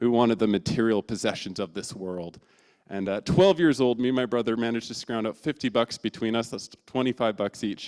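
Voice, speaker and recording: This man talks fairly quickly at a medium pitch with ordinary pitch variation. The sound is dry and close, with no echo. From Canada. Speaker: church intern giving a talk. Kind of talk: sermon. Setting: church. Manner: casual, animated storytelling.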